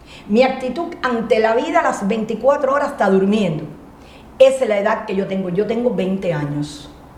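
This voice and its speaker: With an animated tone and lively intonation, a woman with a Cuban accent speaks at a moderate pace and a fairly high pitch, amid noticeable background noise and audible room echo. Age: 60s. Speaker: motivational speaker. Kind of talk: interview. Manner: loud.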